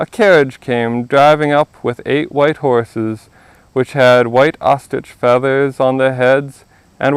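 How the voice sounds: Intonation remains fairly even. The delivery is a natural reading voice.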